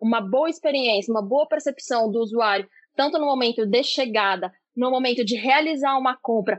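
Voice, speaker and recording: Her pitch is high, with ordinary variation. The woman talks at a fairly quick pace. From São Paulo, Brazil. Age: 20s. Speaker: product manager. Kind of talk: casual interview.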